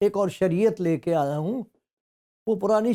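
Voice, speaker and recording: High-pitched for a man, his voice has a dark, mellow tone. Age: 90s. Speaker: pastor. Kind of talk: sermon.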